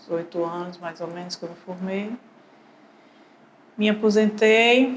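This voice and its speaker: A woman's voice amid noticeable background noise. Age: 60s. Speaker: retired civil servant. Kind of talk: documentary interview testimony.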